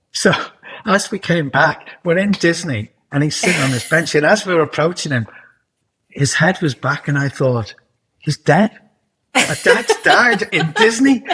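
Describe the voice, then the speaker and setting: A man with a Liverpool accent, high in pitch with very wide pitch swings and a bright, sharp tone, at a fairly slow pace with long, frequent pauses. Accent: Liverpool (Scouse) English. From northern England, Liverpool. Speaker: television producer and writer. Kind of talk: interview.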